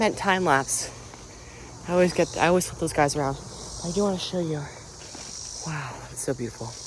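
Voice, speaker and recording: The speaker talks at a fairly quick pace, with big swings in loudness and long, frequent pauses. Pitch varies in an ordinary way over noticeable background noise. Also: man, fairly high pitch for a man. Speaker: outdoor vlogger. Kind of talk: casual vlog narration. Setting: outdoors in a forest. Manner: halting; whispering.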